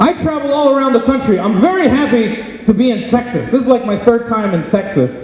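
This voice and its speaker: With a Philadelphia accent, a man talks at an extremely high pitch with ordinary pitch variation, at a fairly quick pace with hardly any pauses, against noticeable background noise. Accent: American, Philadelphia. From Philadelphia, Pennsylvania, US. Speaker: comedian. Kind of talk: stand-up. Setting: stage with audience.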